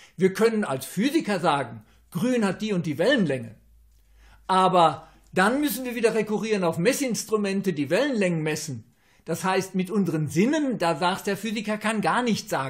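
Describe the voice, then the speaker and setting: The man's intonation is lively as he talks at a moderate pace against a quiet background. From Germany (Westphalia); Germany. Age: 60s. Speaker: astrologer; interviewee. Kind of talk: interview; interview answer. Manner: halting, with filler sounds. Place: home room. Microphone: webcam.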